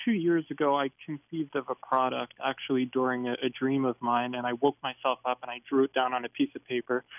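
A man talks at a moderate pace. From New Jersey. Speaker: caller, inventor. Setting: phone call. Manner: nervous.

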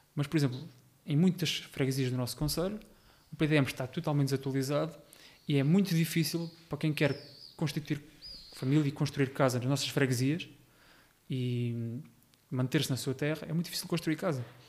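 Speaking at a fairly quick pace yet with long, frequent pauses, a man with a fairly high, somewhat breathy voice keeps his intonation fairly even. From Portugal, Rio Maior area (Ribatejo). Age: 20s. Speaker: local election candidate. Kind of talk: podcast interview.

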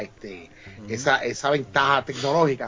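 This man keeps to a moderate speed, with noticeable noise in the background. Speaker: podcast guest. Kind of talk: casual chat.

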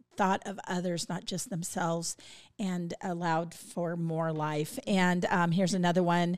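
A woman with an unremarkable speaking voice talks at a fairly slow pace and fairly low pitch. The recording is very clean, with a silent background. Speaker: podcast co-host. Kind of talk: casual chat.

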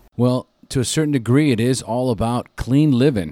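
A man talks at a fairly slow pace, medium in pitch, with a dark, mellow tone. The recording is very clean, with a silent background. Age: 40s. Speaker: podcast host. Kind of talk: podcast interview.

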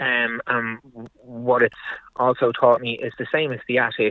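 Speaking with an Irish accent, the man has a medium pitch. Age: 40s. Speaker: building contractor. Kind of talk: casual chat.

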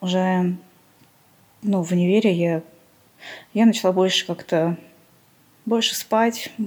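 A woman at a medium pitch, very slow and fairly even in intonation, with long, frequent pauses. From Armenia. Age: 30s. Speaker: podcast guest sharing mental illness story. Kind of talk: personal testimony interview.

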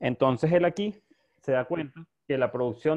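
A man with a normal speaking voice, fairly high-pitched and at a fairly quick pace. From Venezuela, Maracay. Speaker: bartender, rum specialist. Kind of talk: casual interview.

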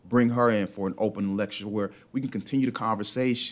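This man has an unremarkable speaking voice with an American accent. His pitch is fairly low and his intonation fairly even. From US South (Atlanta, Georgia). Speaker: professor. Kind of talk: casual chat. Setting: studio.

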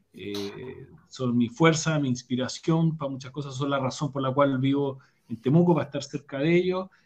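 A somewhat breathy man at a fairly high pitch, moderate pace and ordinary pitch variation. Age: 40s. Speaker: leadership speaker and academic. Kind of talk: casual interview over live stream.

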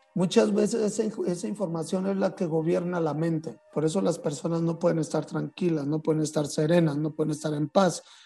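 Music plays in the background as a man talks at a fairly quick pace with hardly any pauses. His pitch is high, with ordinary variation. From Mexico, San Luis Potosí. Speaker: flutist and composer. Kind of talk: interview.

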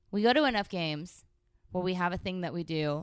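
A woman with a Californian accent, fairly low in pitch, at a fairly quick pace with ordinary pitch variation, on a very clean recording with a silent background. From San Francisco Bay Area, California. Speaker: podcast co-host. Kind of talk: casual chat. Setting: studio.

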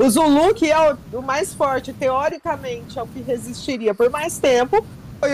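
A woman talks with a high pitch. Her pace is moderate. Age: 40s. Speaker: reality show commentator. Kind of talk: casual chat.

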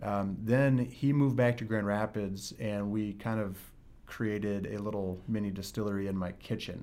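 Audible room echo around a man's fairly low-pitched voice at a moderate pace. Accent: Michigan. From West Michigan. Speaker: distillery co-founder. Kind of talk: interview.

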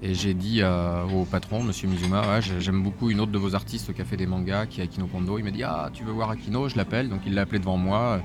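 A man races along at a very fast pace with hardly any pauses, his pitch fairly low and ordinary in variation. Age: 40s. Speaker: manga publisher. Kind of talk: interview. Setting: live in a record store. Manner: hesitant, many fillers.

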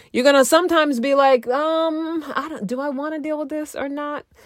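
A woman with an animated tone at a moderate pace, on a very clean recording with a silent background. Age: 50s. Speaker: relationship coach and podcast host. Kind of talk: casual monologue. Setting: home recording in a closet.

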